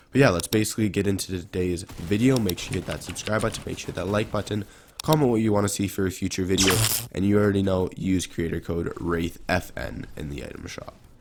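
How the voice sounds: Here a man speaks fast in a low, raspy voice. His pitch varies in an ordinary way.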